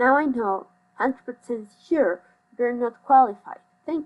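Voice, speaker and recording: Speaking with a Mexican accent at a fairly slow pace, a woman uses a high pitch with ordinary pitch variation. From Mexico City, Mexico. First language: Spanish. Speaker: psychology student, commentary YouTuber. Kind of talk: rant commentary. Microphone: phone headphone mic, poor audio.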